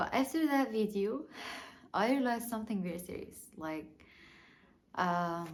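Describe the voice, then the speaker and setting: A woman with a non-native accent and a fairly high voice speaks at a moderate pace with lively intonation and a somewhat breathy sound, leaving long, frequent pauses amid audible room echo. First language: not English. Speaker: small YouTuber. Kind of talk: personal vlog monologue. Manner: halting, many fillers and repeats.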